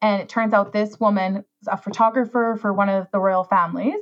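A woman's somewhat breathy, medium-pitched voice with a Canadian accent. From Saskatchewan, rural Canada. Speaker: wedding planner. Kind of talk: casual chat. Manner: animated.

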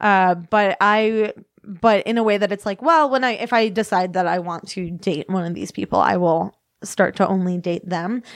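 In an American accent, a woman with an unremarkable speaking voice talks at a moderate pace and medium pitch, with ordinary pitch variation over a quiet background. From US Midwest, northern Illinois / Kenosha, Wisconsin. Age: 20s. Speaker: author and comedian. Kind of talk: casual chat. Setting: studio.

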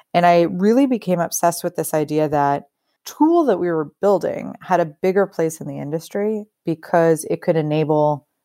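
With an American accent and an unremarkable speaking voice, a woman talks at a moderate pace in a fairly low pitch with ordinary pitch variation, on a very clean recording with a silent background. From US Northeast, New York suburbs near Yonkers. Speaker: agtech startup founder and CEO. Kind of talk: interview.

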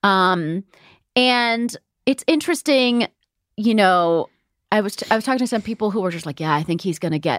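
A woman with an American accent talks with very wide pitch swings. The sound is dry and close with no echo, in a very clean recording over a silent background. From US (Virginia, then California). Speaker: podcast host. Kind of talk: casual chat; news reading.

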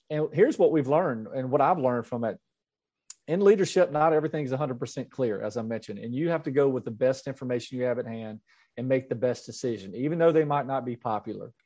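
Against a quiet background, a man with a Mississippi accent talks at a very fast pace in a dark, mellow tone, medium in pitch with ordinary pitch variation. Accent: Southern US (Mississippi). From US South, Mississippi. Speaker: school superintendent. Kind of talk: interview.

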